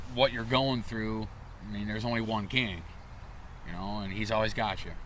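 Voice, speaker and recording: In an American accent, a bright, sharp voice speaks at a moderate pace with fairly even intonation and audible room echo. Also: man. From Michigan (Flint). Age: 40s. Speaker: motorsport and hockey play-by-play announcer. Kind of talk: casual podcast interview.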